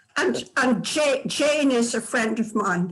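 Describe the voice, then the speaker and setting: The speaker has a Scottish accent. The pace is very slow. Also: woman. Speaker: tour participant. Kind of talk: casual answer in group session. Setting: video call.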